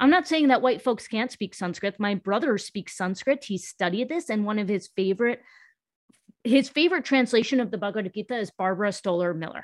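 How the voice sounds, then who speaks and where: Speaking in a normal speaking voice with an American accent, a woman talks at a fairly quick pace with lively intonation. The sound is dry and close with no echo, over a quiet background. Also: fairly high pitch for a woman. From US. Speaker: pain-free movement specialist and social justice consultant. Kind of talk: casual interview conversation.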